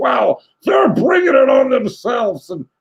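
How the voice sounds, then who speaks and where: A man puts on a character voice pitched extremely high. He speaks at a moderate pace. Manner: dismissive, mocking.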